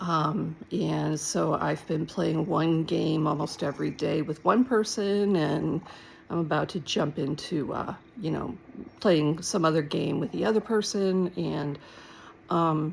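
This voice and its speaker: A voice with vocal fry moves at a fairly slow pace with ordinary pitch variation. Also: woman, very deep, low pitch for a woman. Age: 60s. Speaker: vlogger sharing personal mental health journey. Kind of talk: casual personal vlog monologue. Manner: halting, many fillers and self-corrections.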